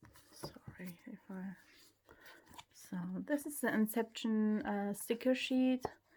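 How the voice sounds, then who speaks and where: Somewhat breathy and fairly high-pitched, a woman with a dark, mellow tone speaks at a very slow pace with long, frequent pauses, ordinary pitch variation and big swings in loudness. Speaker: K-pop fan YouTuber. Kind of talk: unboxing video, casual monologue.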